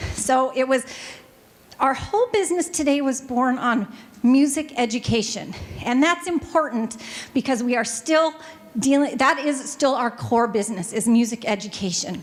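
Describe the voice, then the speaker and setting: An animated woman with an American accent and a high pitch talks at a moderate pace with lively intonation and very even loudness. Noticeable background noise runs underneath. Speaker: family music store owner, business panelist. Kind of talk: panel presentation.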